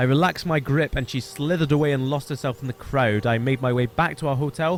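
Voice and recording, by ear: A passage is being read aloud in a natural voice.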